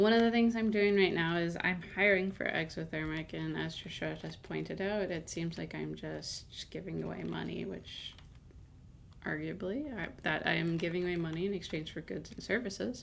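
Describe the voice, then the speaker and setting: A quiet woman's voice with audible room echo. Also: moderate pace. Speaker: game streamer and channel owner. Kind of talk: casual live-stream commentary while gaming. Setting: live stream.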